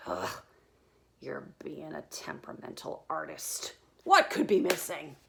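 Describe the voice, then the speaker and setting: A female-sounding voice performs a put-on character voice. The pace is fairly slow. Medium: read story. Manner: complaining.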